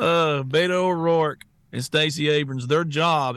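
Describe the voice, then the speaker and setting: A man speaks with a strong Southern US accent against a quiet background. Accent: strong Southern US twang. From US South. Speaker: talk show co-host and social media personality. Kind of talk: casual talk show chat.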